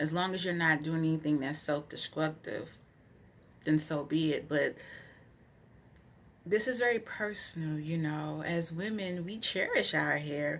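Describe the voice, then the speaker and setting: The pitch varies in an ordinary way. Long, frequent pauses break up the speech. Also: woman, very deep, low pitch for a woman. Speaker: vlogger. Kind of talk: personal testimony vlog. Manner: fast.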